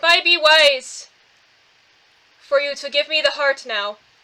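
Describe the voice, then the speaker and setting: Fairly slow, high-pitched speech from a woman doing a put-on character voice. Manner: menacing.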